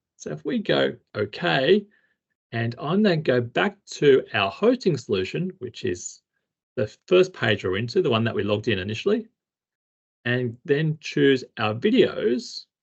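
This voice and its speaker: A man's medium-pitched, somewhat breathy voice in a strong Australian accent, with very wide pitch swings and a fairly slow pace. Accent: heavy Australian. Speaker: instructional technology trainer. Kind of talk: tutorial. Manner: casual, conversational.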